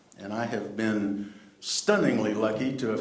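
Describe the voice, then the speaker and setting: Noticeable background noise and audible room echo surround a man speaking at a medium pitch and moderate pace with ordinary pitch variation. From Texas, Dallas. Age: 60s. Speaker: actor. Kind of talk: panel talk.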